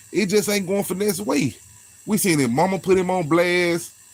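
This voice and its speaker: Over noticeable background noise, a man talks at a very fast pace in a high pitch. His tone is animated, with ordinary pitch variation. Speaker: YouTube commentary host. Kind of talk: casual commentary vlog. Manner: repetitive, animated.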